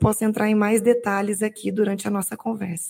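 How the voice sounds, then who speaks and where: A woman speaks at a moderate pace in a plain, everyday voice. Her pitch is fairly high. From Minas Gerais, small town. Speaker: technical director. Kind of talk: interview.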